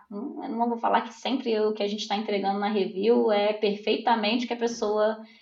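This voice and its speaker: There is noticeable background noise behind this woman. Her voice is fairly high-pitched, with ordinary pitch variation. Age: 30s. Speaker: product owner. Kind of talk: interview.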